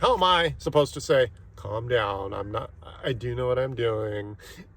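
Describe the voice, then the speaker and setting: Somewhat breathy, a man speaks at a fairly slow pace with a medium pitch. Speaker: IT technician. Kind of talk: rant.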